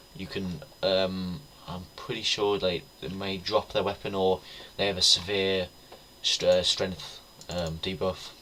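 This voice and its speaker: Someone talks at a fairly slow pace with a British accent. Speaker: gaming YouTuber. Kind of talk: gameplay commentary. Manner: halting, stuttering; casual.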